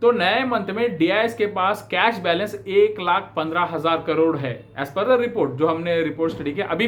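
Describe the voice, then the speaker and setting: A man's high voice in a South Indian accent, ordinary pitch variation, a moderate pace with hardly any pauses, and noticeable background noise. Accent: non-native Hindi, South Indian. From South India, Bangalore. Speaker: stock market commentator. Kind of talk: market analysis talk to camera. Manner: hesitant with fillers, Hindi-English code-switching.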